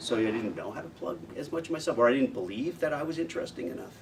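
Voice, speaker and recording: An American-accented man at a fairly quick pace, very wide pitch swings, noticeable background noise. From United States. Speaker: voice actor. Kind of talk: interview answer. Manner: casual, conversational.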